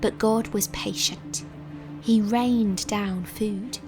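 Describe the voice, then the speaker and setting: A woman's voice at medium pitch, with music in the background. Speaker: voiceover narrator. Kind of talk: children's Bible story narration.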